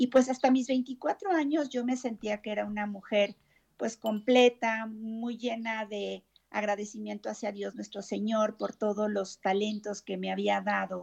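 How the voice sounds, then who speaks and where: A woman with a fairly high pitch speaks in a normal speaking voice at a fairly slow pace, her intonation fairly even. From Mexico City. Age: 50s. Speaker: therapist. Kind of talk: interview testimony.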